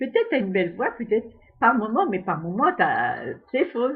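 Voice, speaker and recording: Speaking at a fairly slow pace, a woman uses lively intonation in a somewhat breathy voice. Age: 70s. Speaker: amateur singer. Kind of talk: casual monologue. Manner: halting.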